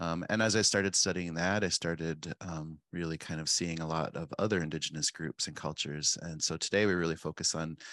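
With a very deep, low voice, a man talks at a fairly quick pace over a quiet background, the sound dry and close with no echo. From South Dakota, Pine Ridge Reservation. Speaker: chef and cookbook author. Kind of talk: interview, conversational.

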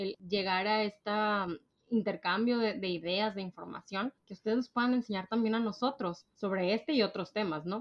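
A woman's medium-pitched voice in a Monterrey accent, moderate in pace, with ordinary pitch variation. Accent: northern Mexican (Monterrey) Spanish, posh. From Mexico, Monterrey. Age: 20s. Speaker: podcast co-host. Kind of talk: casual chat. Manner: posh-sounding.

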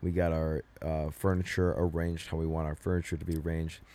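There is total silence behind this man on an exceptionally clean track. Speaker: college athlete and podcast co-host. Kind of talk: casual chat. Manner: rambling, filler-heavy.

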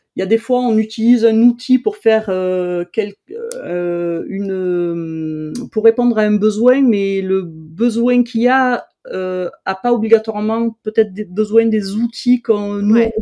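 Speaking at a very slow pace, a woman uses a fairly high voice with a dark, mellow tone and ordinary pitch variation. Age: 50s. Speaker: no-code trainer. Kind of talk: interview.

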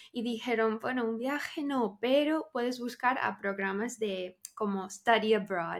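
The speech comes in an English accent at a fairly slow pace with ordinary pitch variation. There are hardly any pauses. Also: woman, fairly high pitch for a woman. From Texas. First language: English (speaking Spanish). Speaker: social media creator. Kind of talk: casual interview.

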